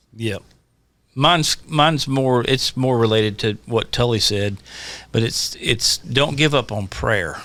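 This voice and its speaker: Speaking at a fairly slow pace, a man with a medium pitch and ordinary pitch variation has a bright, sharp tone. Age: 60s. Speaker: songwriter. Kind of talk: casual chat.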